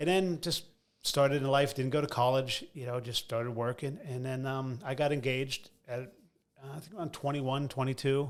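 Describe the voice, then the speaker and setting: The speaker has an American accent and a fairly quick pace. The intonation stays fairly even. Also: man, medium pitch for a man. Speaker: comedian. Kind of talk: casual chat. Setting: studio. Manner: fast.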